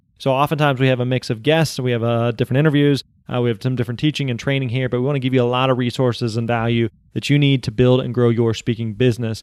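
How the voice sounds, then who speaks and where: A man's upbeat voice at a medium pitch and a very fast pace. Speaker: podcast host. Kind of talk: podcast intro.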